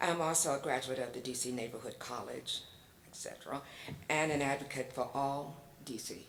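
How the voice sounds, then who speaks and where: Ordinary pitch variation marks this woman's very deep, low voice, delivered with an American accent. Her pace is moderate, and room echo can be heard. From Virginia, foot of the Blue Ridge Mountains. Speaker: public commenter, community advocate. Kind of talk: public testimony. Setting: public hearing in school hall. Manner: hesitant, many fillers.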